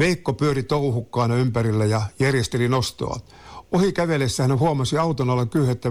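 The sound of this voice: The voice reads in an unforced way with ordinary pitch variation.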